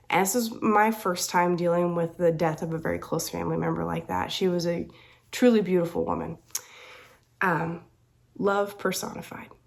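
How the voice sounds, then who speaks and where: Speaking with a Southern US accent at a moderate pace, a woman leaves long, frequent pauses. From US South. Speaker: crafting vlogger. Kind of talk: casual chat.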